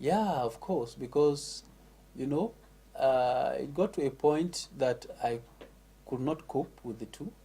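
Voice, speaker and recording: Speaking with a northern Nigerian accent, a man goes at a very slow pace with long, frequent pauses. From northern Nigeria, Katsina State. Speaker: MC and former teacher. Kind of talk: interview.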